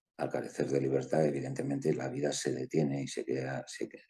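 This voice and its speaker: A man in a Madrid accent talks with vocal fry and a dark, mellow tone. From Spain, Madrid. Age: 60s. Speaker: lawyer and author. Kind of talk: interview.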